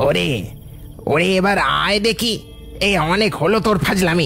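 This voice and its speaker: A cartoonish character voice at middle pitch and moderate pace, with clear music in the background. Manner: mocking, menacing.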